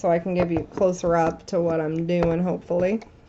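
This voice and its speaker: A woman speaks at a moderate pace with a fairly low pitch. Noticeable background noise is present. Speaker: resin artist. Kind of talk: tutorial.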